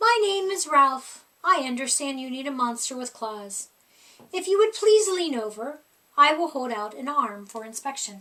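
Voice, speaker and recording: A woman puts on a character voice pitched high. She speaks at a moderate pace. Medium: read story.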